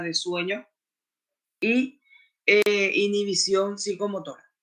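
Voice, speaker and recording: A man speaks in a high-pitched, bright and sharp tone. His voice is raised and projected. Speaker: lecturer. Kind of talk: lecture.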